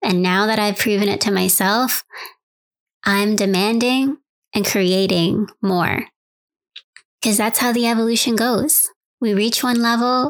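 A woman with a normal speaking voice at medium pitch, fairly slow pace and fairly even intonation. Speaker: mindfulness podcaster. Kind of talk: motivational pep talk. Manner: warm, direct, conversational.

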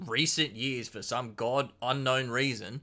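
A man speaks with an Australian accent in a bright, sharp tone. The recording is very clean, with a silent background. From Queensland, Australia. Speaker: cocktail hobbyist. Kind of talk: casual chat.

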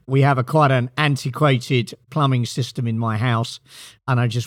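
A man with a British accent talks at a fairly quick pace, his medium pitch held in fairly even intonation. The recording is very clean, with a silent background. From Britain. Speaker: company CEO. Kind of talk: interview.

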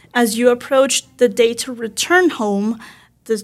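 Speaking with a Spanish accent, a woman keeps a moderate pace at a fairly high pitch with ordinary pitch variation. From Venezuela. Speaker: mental health counselor. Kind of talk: interview.

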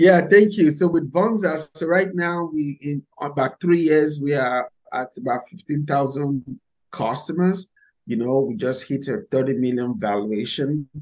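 The speaker has a Nigerian accent and lively intonation. The pace is fairly slow. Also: man, fairly high pitch for a man. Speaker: startup founder and CEO. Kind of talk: interview conversation.

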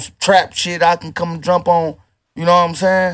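High-pitched man at a moderate pace in a very clean recording with a silent background. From Toledo, Ohio, US Midwest. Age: 30s. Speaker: rapper. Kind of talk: casual chat.

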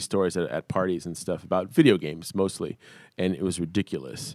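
This man's very deep, low voice carries vocal fry at a fairly quick pace. The sound is dry and close, with no echo. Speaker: podcaster and voice actor. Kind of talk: casual chat.

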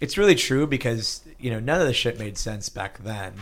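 The speaker is a man with a medium pitch. He talks in an American accent. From US, Pittsburgh, Pennsylvania. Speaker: startup investor. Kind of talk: interview. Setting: office.

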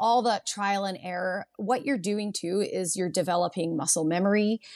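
A woman with a Canadian accent has an ordinary speaking voice, medium in pitch, with ordinary pitch variation and a moderate pace. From Canada, Vancouver Island (Nanaimo, BC). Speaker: surf school owner and instructor. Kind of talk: casual interview.

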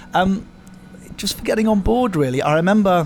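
A man speaks with high pitch. Music plays in the background. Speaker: podcast co-host. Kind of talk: casual chat over tea and cake. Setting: coffee house cafe.

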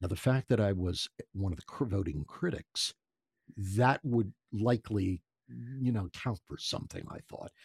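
A somewhat breathy man's voice with an American accent, fairly low in pitch, with lively intonation, a moderate pace, long, frequent pauses and big swings in loudness, on a very clean, dry, close recording with no echo and a silent background. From US Northeast, Philadelphia. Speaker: voice artist and ventriloquist. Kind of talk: casual interview storytelling. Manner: animated.

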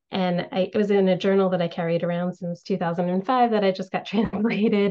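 At a moderate pace, a woman with a medium pitch and fairly even intonation speaks in a normal speaking voice. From United States, Indian family. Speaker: author and civil engineer. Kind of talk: casual interview.

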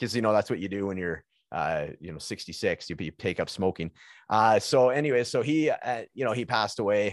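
A man with a Canadian accent and an unremarkable speaking voice, fairly low in pitch, at a moderate pace, against a quiet background. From Prince George, British Columbia, Canada. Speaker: podcast host and guest. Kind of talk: casual chat. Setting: video call.

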